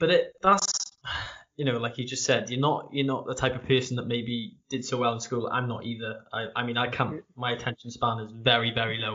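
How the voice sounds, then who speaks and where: Speaking with a South Welsh accent, a man uses a medium pitch. His pitch varies in an ordinary way. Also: fairly quick pace. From South Wales. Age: 20s. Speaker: podcast host and barber. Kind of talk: interview conversation. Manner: halting.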